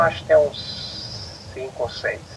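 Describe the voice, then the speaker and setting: There is noticeable background noise. A man's voice comes through it. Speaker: engineer and family business owner. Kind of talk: interview.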